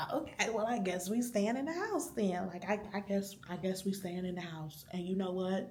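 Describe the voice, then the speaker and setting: A whispering woman at a moderate pace with hardly any pauses, amid audible room echo and noticeable background noise. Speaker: vlogger. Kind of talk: vlog monologue. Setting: library.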